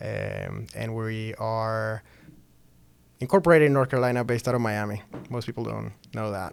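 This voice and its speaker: A moderate pace with a Spanish accent and long, frequent pauses. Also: man. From Venezuela. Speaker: startup founder. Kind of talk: interview.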